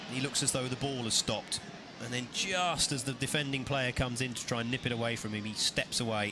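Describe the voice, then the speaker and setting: A man speaks with an English accent. Noticeable background noise runs behind him. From England. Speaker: football commentator. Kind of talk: live commentary.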